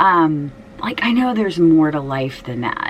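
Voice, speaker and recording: Amid noticeable background noise, a woman speaks with a very deep, low pitch. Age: 50s. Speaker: fashion and shoe vlogger, schoolteacher. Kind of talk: casual personal vlog talk. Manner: hesitant, many fillers.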